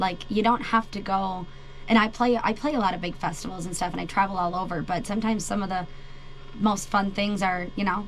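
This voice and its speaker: Fairly quick speech with ordinary pitch variation comes through audible room echo with music in the background. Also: woman, medium pitch for a woman. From Wisconsin, US Midwest. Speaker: country singer. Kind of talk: radio interview. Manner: loud when singing.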